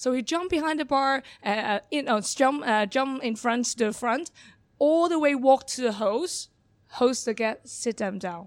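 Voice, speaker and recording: With a Hong Kong accent, a woman talks at a moderate pace in a high pitch, her intonation lively. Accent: Hong Kong Cantonese-accented English. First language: Cantonese. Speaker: bar manager. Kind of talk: interview. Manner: halting; shy.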